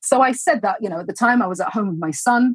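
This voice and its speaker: Somewhat breathy, a woman with a London accent talks with lively intonation in a dry, close sound with no echo. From London, England. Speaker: entrepreneur, former professional dancer. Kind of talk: interview.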